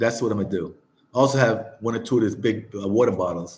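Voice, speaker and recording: A man with a fairly low pitch and an American accent, somewhat breathy, fairly even in intonation, at a very fast pace. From New Jersey, US. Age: 60s. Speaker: travel vlogger. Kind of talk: casual chat. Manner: relaxed, repetitive.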